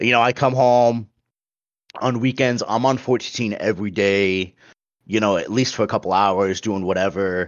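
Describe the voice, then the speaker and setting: A man with a normal speaking voice, fairly low in pitch, at a moderate pace with ordinary pitch variation. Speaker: podcast host. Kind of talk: casual chat about gaming news.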